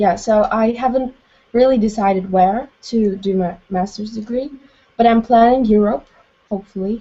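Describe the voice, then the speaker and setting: Fairly even intonation marks a plain, everyday voice. The pace is moderate. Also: woman, fairly high pitch for a woman. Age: 20s. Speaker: student. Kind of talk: casual chat. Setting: video call.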